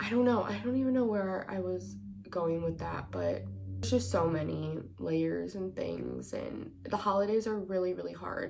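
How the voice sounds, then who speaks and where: With noticeable background noise and audible room echo, a woman speaks with an American accent. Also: moderate pace. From Wisconsin, Milwaukee. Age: 20s. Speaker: podcast host. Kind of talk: personal monologue.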